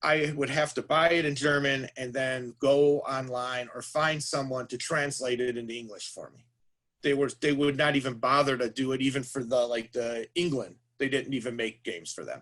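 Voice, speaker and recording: This man has an unremarkable speaking voice, medium in pitch, with fairly even intonation. He speaks at a moderate pace with big swings in loudness. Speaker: board game industry professional. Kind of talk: lecture to a class. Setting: classroom.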